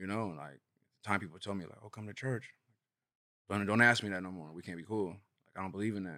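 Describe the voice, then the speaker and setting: Very fast speech in an American accent comes with a bright, sharp tone, ordinary pitch variation, big swings in loudness and long, frequent pauses. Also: man, fairly low pitch for a man. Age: 30s. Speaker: guest sharing testimony. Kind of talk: testimony.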